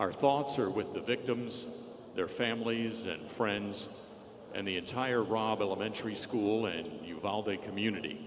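A man's fairly low voice at a fairly slow pace, with ordinary pitch variation over noticeable background noise. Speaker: arena public address announcer. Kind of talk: public address announcement at a basketball arena. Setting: arena PA system. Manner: solemn, measured. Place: stadium.

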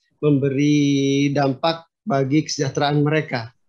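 With the background kept quiet, a man's speech unfolds at a fairly slow pace. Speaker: journalist host. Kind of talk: interview question. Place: office. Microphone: video call.

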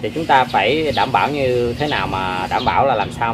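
Noticeable background noise runs throughout. Through it, a man speaks at a moderate pace. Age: 30s. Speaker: orchid-growing YouTuber. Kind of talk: tutorial. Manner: halting, many fillers. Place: garden.

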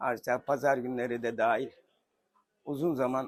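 With monotone, flat intonation, a man talks at a medium pitch. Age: 70s. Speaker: shoe repairman. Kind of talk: interview answer.

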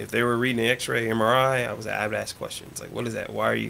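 Talking at a very fast pace, a man with an American accent is heard over light background noise. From Oklahoma. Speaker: surgical assistant, youth gymnastics coach; youth gymnastics coach. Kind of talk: casual radio interview; interview answer. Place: home room.

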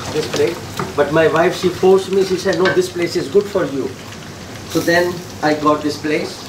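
Speech at a moderate pace with fairly even intonation comes through noticeable background noise. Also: man. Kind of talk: interview answer. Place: kitchen. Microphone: camera far.

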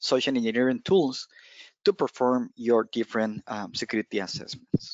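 Speaking with a Spanish accent, a man holds a medium pitch with ordinary variation, the sound dry with no echo and the background quiet. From Costa Rica. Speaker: penetration tester, cloud security specialist; presenter. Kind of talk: technical presentation. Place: home room. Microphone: headset.

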